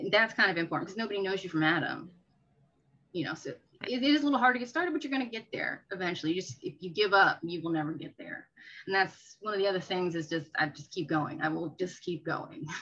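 This woman talks at a very fast pace in a medium pitch. Her tone is bright and sharp, with very wide pitch swings. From Maryland, Prince George's County. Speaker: real estate agent. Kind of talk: interview.

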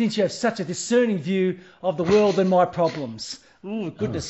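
Pitch moves in an ordinary way. The voice is an unforced reading voice.

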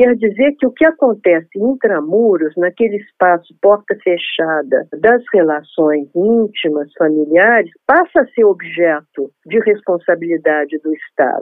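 A woman's medium-pitched voice at a fairly slow pace, with very wide pitch swings and hardly any pauses. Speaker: sociologist and women's rights activist. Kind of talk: interview.

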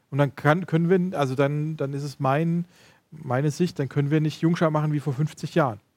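A man with a normal speaking voice talks at a moderate pace and a fairly high pitch. His intonation is fairly even, on a very clean recording with a silent background. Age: 30s. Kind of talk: casual chat.

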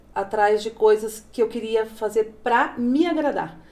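A woman at a very slow pace with ordinary pitch variation, over noticeable background noise. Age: 40s. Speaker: manicure and plus-size model. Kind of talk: casual interview. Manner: animated.

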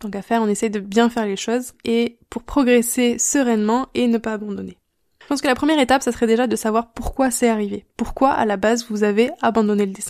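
A plain, everyday voice from a woman, fairly high in pitch, at a fairly quick pace with fairly even intonation. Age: 30s. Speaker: online drawing teacher and podcast host. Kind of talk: solo podcast advice talk.

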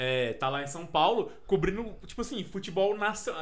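A man speaks at a moderate pace. Audible room echo is present. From Minas Gerais, Brazil (Frutal, near Uberaba). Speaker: podcast guest, friend of host. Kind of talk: casual chat.

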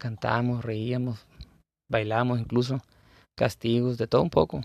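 A man speaks at a moderate pace and medium pitch, the sound dry and close with no echo. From Baja California Sur, Mexico. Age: 30s. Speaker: gaming content creator. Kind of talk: casual monologue. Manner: halting.

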